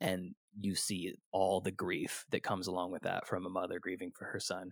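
A man with an American accent, very deep and low in pitch, flat and monotone at a moderate pace, on a very clean recording with a silent background and a dry, close sound with no echo. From California, Sacramento area. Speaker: film podcaster guest. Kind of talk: casual chat. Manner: halting, many fillers.

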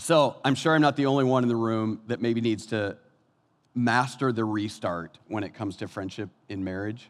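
On a very clean recording with a silent background, a man of medium pitch speaks at a moderate pace in an animated tone, with ordinary pitch variation. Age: 50s. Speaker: pastor. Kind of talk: sermon.

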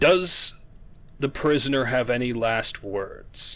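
A man's put-on character voice at a very slow pace, in a very clean recording with a silent background. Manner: stern and authoritative.

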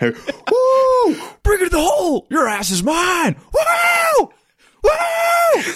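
Shouting in a put-on character voice, the speaker talks at an extremely high pitch and a very slow pace. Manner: screaming, hyped.

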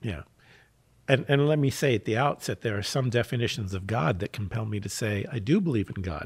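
A man talks at a fairly quick pace with an American accent. His voice is somewhat breathy, with lively intonation. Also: medium pitch for a man. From US Northeast, Philadelphia. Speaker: mental health worker. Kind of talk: casual chat.

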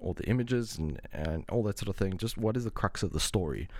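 A man speaks at a moderate pace with a fairly low pitch and vocal fry. The recording is very clean, with a silent background. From South Africa, Cape Town. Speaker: film music composer. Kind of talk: casual interview.

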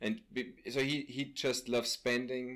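A man speaks at a very slow pace with an Austrian accent. His pitch sits in the medium range. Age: 30s. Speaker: friend and co-discussant. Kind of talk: casual conversation. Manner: halting, searching for words.

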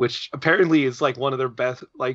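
A man talks in a normal speaking voice at a medium pitch. He keeps a fairly quick pace and fairly even intonation. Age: 30s. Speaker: podcast co-host. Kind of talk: casual chat.

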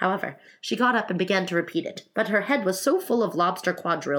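Someone reads aloud in a natural voice. Their intonation rises and falls in a lively way.

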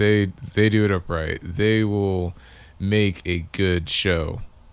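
With fairly even intonation, a man speaks at a very slow pace and a fairly low pitch. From Victoria, Texas. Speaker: musician (bass player). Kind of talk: casual chat. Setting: studio, in person.

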